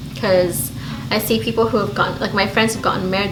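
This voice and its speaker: Audible room echo and noticeable background noise fill the clip. A woman's voice comes through them. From Belize. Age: 30s. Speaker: beauty YouTuber. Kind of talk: casual chat. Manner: animated.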